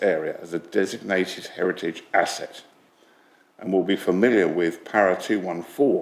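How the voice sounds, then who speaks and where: Man's very deep, low voice with ordinary pitch variation at a moderate pace, over noticeable background noise. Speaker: public speaker at planning meeting. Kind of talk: prepared statement to committee. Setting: council committee meeting.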